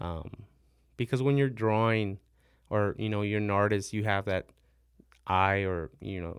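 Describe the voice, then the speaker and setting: A man with an American accent speaks at a moderate pace with a fairly low pitch and fairly even intonation, on a very clean recording with a silent background. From San Antonio, Texas (Mexican-born). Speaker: metal fabricator. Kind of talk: casual interview. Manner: halting, many fillers.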